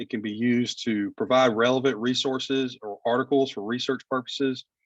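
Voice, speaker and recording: Against a quiet background, a man speaks at a medium pitch in a dry, close sound with no echo. His intonation is monotone and flat. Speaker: special education teacher. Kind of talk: class presentation. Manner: fast.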